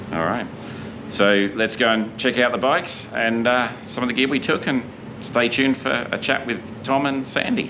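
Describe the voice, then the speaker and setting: There is noticeable background noise. A man with an Australian accent speaks at a medium pitch. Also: ordinary pitch variation, moderate pace. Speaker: motorcycle vlogger. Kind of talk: casual chat. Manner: halting; talkative.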